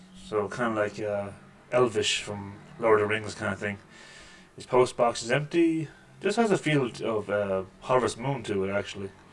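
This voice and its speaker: A man's fairly low voice at a moderate pace, with long, frequent pauses and noticeable background noise. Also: ordinary pitch variation. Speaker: gaming video creator. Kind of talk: let's play commentary.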